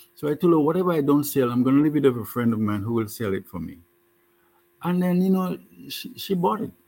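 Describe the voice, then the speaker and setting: Fairly high-pitched and fairly quick, a man speaks with very wide swings in pitch. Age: 70s. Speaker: health food entrepreneur. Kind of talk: interview.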